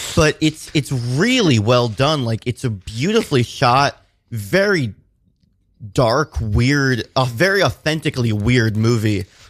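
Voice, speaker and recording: A man's plain, everyday voice at medium pitch, with lively intonation, very even loudness and a fairly slow pace, in a very clean recording with a silent background. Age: 20s. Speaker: filmmaker and musician. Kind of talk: casual interview. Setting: radio studio.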